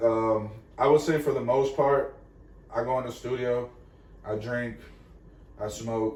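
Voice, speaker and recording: A man at a medium pitch, with a Spanish accent, speaks at a fairly slow pace with fairly even intonation and long, frequent pauses, and audible room echo surrounds his voice. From Venezuela, raised in Florida. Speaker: musician, rapper. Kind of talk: casual chat.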